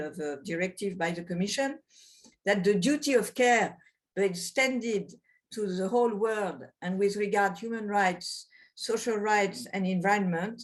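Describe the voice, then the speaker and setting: A woman with a French accent speaks at a moderate pace with ordinary pitch variation. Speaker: lawyer, former constitutional judge. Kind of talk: webinar presentation. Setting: video webinar. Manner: hesitant, not fully fluent.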